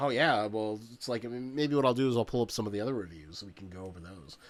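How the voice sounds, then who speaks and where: The man has a plain, everyday voice at a medium pitch. His intonation stays fairly even. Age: 30s. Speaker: podcast guest, former coworker of host. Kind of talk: casual chat.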